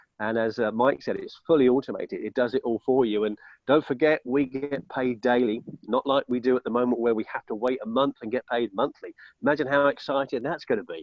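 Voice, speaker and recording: At a fairly quick pace, a man speaks in a medium pitch with fairly even intonation. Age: 60s. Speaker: network marketing member giving testimony. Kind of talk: testimony. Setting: outdoors on webinar call. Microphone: poor internet connection.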